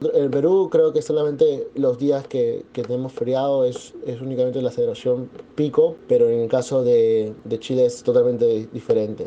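A man talks with hardly any pauses and fairly even intonation. Noticeable background noise sits behind him. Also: medium pitch for a man, moderate pace. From Peru, Lima. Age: 20s. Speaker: entrepreneur. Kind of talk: interview testimony.

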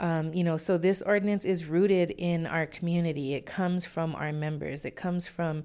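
This woman's voice is fairly low and flat, in a monotone. She talks at a moderate pace on a very clean recording with a silent background. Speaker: executive director of community organizing nonprofit. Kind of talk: radio interview.

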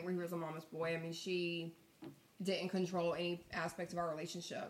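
A woman speaks over noticeable background noise. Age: 30s. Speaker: podcast guest. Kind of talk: casual chat.

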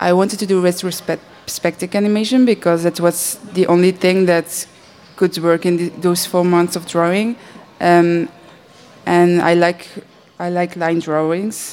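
A woman with a Dutch accent talks at a fairly slow pace in a monotone, flat intonation. There is noticeable background noise. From Belgium. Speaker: animator. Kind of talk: panel discussion.

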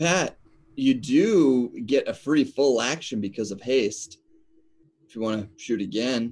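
A man speaks in an ordinary speaking voice at a medium pitch and a fairly slow pace. His intonation is lively, and his loudness swings widely. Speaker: player.

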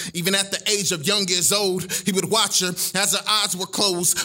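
A man speaks in a playful tone. Music plays in the background. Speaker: spoken word poet. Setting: stage with live audience at a library showcase. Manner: playful, crowd-teasing banter with slangy asides before the poem; rhythmic, building cadence with internal rhymes and repeated refrains.

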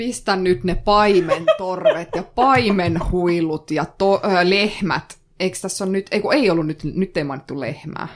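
Over noticeable background noise, a woman at a medium pitch talks at a fairly slow pace with hardly any pauses and ordinary pitch variation. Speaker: poet. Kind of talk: casual poetry critique.

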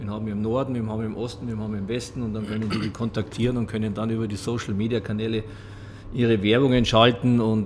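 Over noticeable background noise and audible room echo, a man speaks at a very fast pace, his medium-pitched voice monotone and flat. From Munich, Bavaria. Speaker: podcast host. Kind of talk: casual interview. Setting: boxing gym.

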